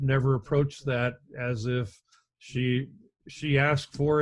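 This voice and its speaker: Set against a quiet background, a man talks at medium pitch. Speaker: paramedic instructor. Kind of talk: lecture. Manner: loud.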